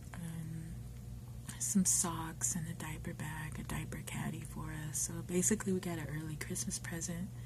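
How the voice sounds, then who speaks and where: A fairly slow voice in an American accent, with music in the background. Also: woman. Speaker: ASMR video maker. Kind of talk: casual talk to camera. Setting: workplace, quiet.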